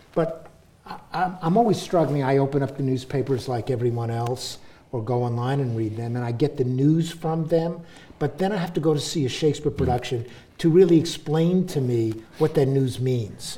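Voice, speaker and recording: A somewhat breathy man's voice, fairly high in pitch with ordinary pitch variation, at a moderate pace amid audible room echo. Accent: New York. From US, New York City. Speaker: professor and author. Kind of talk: public talk with audience. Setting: stage with audience.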